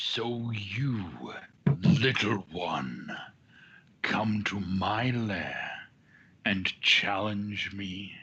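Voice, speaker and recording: Putting on a character voice, a man speaks at a fairly low pitch and a very slow pace, with long, frequent pauses. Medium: actual play. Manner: menacing, condescending.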